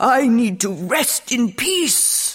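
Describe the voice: Using a put-on character voice, a woman speaks at a very slow pace with lively intonation, a fairly high pitch and a slightly husky edge.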